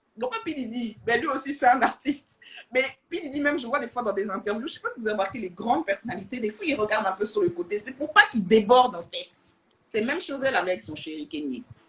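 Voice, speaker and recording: A woman's high voice at a very fast pace, full of lively intonation. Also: big swings in loudness. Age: young. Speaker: social media influencer. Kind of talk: casual livestream chat. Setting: Instagram live. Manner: animated.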